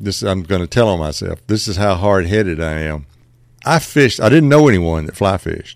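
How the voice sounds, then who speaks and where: Intonation stays lively as a man talks with a Southern US accent. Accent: Southern US (Georgia). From Middle Georgia, US South. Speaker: fly shop owner and fishing guide. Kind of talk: casual interview. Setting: upstairs in a fly shop.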